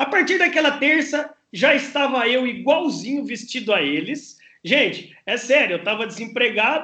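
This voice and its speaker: Extremely high-pitched for a man, his raised, projected voice has a bright, sharp tone and lively intonation at a moderate pace. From Brazil, interior of São Paulo state (Campinas). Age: 40s. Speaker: writer, speaker and sales professor. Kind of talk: podcast interview.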